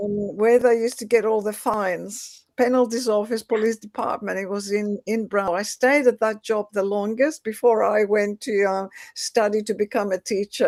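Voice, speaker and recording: A woman speaks in a Greek accent. Her pitch is fairly high and her intonation fairly even. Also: moderate pace. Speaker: educator. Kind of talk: interview. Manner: halting.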